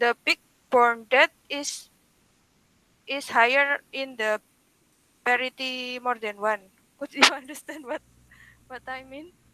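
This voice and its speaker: With a raised, projected voice, a woman speaks at a high pitch and a fairly slow pace, with long, frequent pauses. Her intonation is fairly even, and the sound is dry and close with no echo. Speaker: webinar participant asking questions. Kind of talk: academic Q&A. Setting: video call. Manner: halting.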